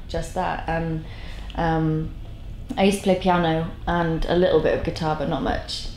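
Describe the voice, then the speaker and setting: Noticeable background noise and audible room echo fill the space as this woman talks at a moderate pace. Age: 20s. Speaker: singer-songwriter. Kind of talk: interview. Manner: halting.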